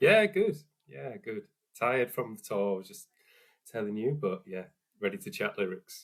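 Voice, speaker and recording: A man with a northern English accent at a moderate pace, big swings in loudness, and long, frequent pauses. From northern England, Hull. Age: 40s. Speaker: musician. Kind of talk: interview. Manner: careful enunciation.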